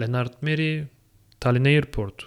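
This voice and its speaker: A man with a Turkish accent and ordinary pitch variation, on a very clean recording with a silent background. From Turkey. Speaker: international master's student. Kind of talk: solo podcast monologue.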